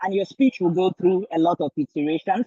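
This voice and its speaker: A man talks very fast in a high voice. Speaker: graduate student, past research talk competitor. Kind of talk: panel talk at information session.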